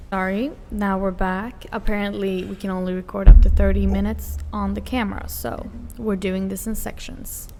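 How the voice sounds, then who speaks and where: A woman with a non-native accent talks at a moderate pace with hardly any pauses, her loudness swinging widely. Music plays in the background, and room echo is audible. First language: not English. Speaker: podcast co-host. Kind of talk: casual chat.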